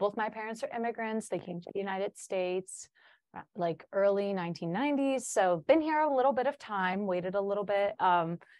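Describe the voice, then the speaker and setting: A woman with a Chicago accent talks at a fairly quick pace. Her pitch is medium, with ordinary variation. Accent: Chicago American English. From US Midwest, Chicago. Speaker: student teacher. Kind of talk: podcast interview.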